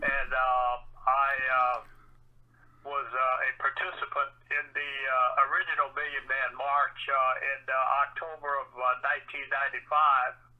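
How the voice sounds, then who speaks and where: Noticeable background noise sits under a man speaking at a fairly slow pace. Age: 70s. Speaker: march participant. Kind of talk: casual chat. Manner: halting, many fillers.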